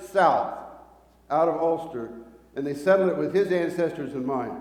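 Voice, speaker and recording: Noticeable echo from the room hangs around the voice. The speaker is a man. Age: 60s. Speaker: preacher. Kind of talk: sermon. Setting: church hall, live-streamed with small audience. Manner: halting, repeats words.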